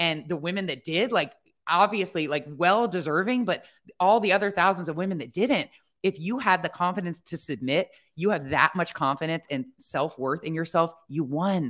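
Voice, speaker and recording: A woman with an American accent speaks in a plain, everyday voice, fairly low in pitch, with lively intonation at a moderate pace, on a very clean recording with a silent background. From Ohio. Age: 40s. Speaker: podcast host and eating disorder advocate. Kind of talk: casual interview.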